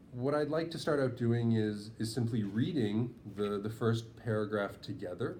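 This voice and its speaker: Amid audible room echo, a man of medium pitch talks at a moderate pace with a dark, mellow tone. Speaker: writing tutor. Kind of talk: lesson. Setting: in person with two students.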